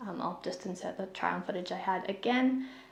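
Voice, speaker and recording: A woman speaks fairly quickly with a New Zealand accent. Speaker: knitting vlogger. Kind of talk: casual chat. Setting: home, sitting on the floor.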